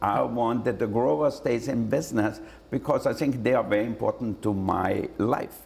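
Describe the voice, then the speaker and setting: An Austrian accent and vocal fry mark this man's medium-pitched voice, which moves at a moderate pace with ordinary pitch variation. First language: German. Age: 60s. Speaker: celebrity chef and restaurateur. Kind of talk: interview answer.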